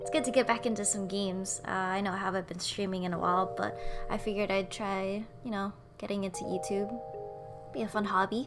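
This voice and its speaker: At a fairly quick pace, a woman talks over music in the background. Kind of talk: casual gameplay commentary to camera.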